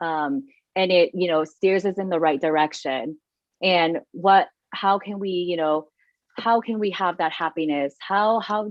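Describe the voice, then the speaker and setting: A woman speaks with a Thai accent at a fairly low pitch. Her pace is fairly slow, and her pitch varies in an ordinary way. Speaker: meditation event co-host. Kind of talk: casual panel discussion. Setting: live online broadcast. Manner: casual, some stumbling.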